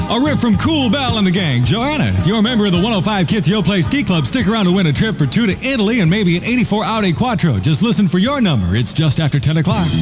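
An energetic man's high-pitched voice at a very fast pace, with very wide pitch swings and very even loudness over background music. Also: hardly any pauses. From United States. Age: 20s. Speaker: radio DJ. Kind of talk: live radio DJ patter. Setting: radio broadcast. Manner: energetic, fast. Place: booth. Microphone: old recording.

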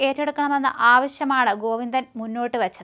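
A woman talks at a fairly quick pace in a bright, sharp tone.

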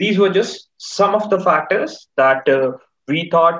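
A man speaks in an Indian accent at a moderate pace with ordinary pitch variation. The background is quiet. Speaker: market chat show host. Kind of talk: casual chat. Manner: animated. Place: home room. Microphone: video call.

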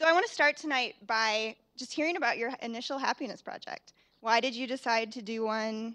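A woman with a fairly high pitch and a bright, sharp tone speaks at a fairly quick pace with ordinary pitch variation against a quiet background. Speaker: event moderator. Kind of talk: onstage interview. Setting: stage with audience. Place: stage. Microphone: handheld.

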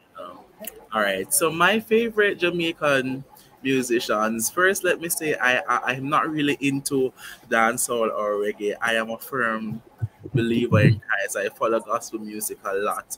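At a moderate pace and medium pitch, a man speaks with lively intonation over noticeable background noise. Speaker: past student, youth cultural performer. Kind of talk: casual chat. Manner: hesitant, many fillers.

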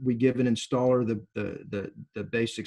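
A man speaks at a fairly slow pace in a dark, mellow tone. The background is quiet. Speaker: company trainer. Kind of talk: interview answer. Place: home room. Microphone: video call.

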